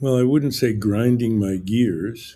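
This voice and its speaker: With an American accent, a man speaks at a very slow pace in a dark, mellow tone with ordinary pitch variation. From New Jersey. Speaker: golf mental game coach. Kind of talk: interview. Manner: calm.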